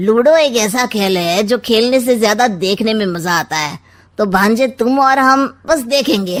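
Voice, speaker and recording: A woman uses a cartoonish character voice pitched fairly high. She speaks at a moderate pace with lively intonation. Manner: sly, witty, teasing.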